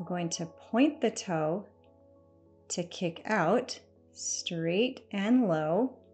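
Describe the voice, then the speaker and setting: A woman talks at a very slow pace with long, frequent pauses. Faint music plays in the background. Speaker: fitness instructor. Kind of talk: workout instruction. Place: home room.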